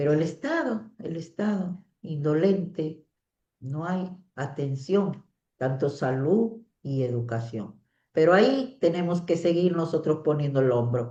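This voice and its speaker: The tone is dark and mellow, with lively intonation. The pace is very slow. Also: woman, very deep, low pitch for a woman. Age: 60s. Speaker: teacher. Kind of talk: online class.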